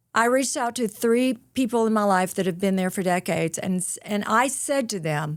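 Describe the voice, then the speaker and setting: Recorded very cleanly against a silent background, a woman with a Southern accent talks at a medium pitch. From US South, rural North Mississippi. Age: 60s. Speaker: author and motivational speaker. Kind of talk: podcast interview. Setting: studio. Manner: animated.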